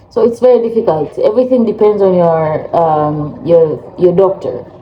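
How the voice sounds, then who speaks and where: Over noticeable background noise, a woman speaks at a moderate pace with lively intonation and a fairly low pitch. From Africa. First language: not English; English is third language. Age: 30s. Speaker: vlogger. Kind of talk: casual vlog talk.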